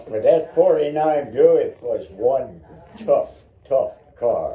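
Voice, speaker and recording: Amid noticeable background noise, a man talks at a very slow pace. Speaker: family elder telling stories. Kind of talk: casual chat.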